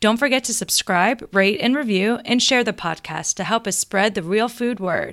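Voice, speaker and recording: A woman's fairly high voice, warm and enthusiastic in tone, at a moderate pace with hardly any pauses and ordinary pitch variation, in a dry, close sound with no echo. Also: very clean recording, silent background. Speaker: podcast co-host. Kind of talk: casual interview chat. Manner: warm, enthusiastic.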